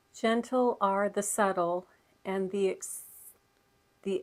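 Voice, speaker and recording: In a very clean recording with a silent background, a woman speaks with monotone, flat intonation. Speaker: spiritual channel host. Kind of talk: reading aloud. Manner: slow, articulated.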